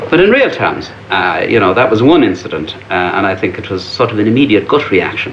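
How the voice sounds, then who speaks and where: Amid noticeable background noise and audible room echo, a man with an Irish accent talks at a fairly quick pace. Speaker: Irish emigrant interviewee. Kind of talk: panel discussion.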